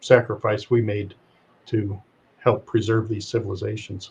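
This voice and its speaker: A man with a somewhat breathy, fairly low voice speaks at a moderate pace in a monotone, flat way. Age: 70s. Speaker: retired pilot and spiritual speaker. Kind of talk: interview storytelling. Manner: halting, many fillers.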